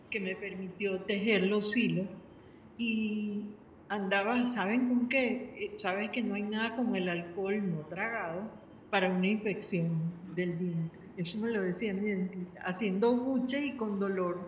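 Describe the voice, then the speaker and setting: A woman speaks with fairly even intonation. Audible room echo and noticeable background noise surround her voice. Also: medium pitch for a woman, fairly slow pace. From Venezuela. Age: 70s. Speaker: panel speaker. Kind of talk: panel discussion.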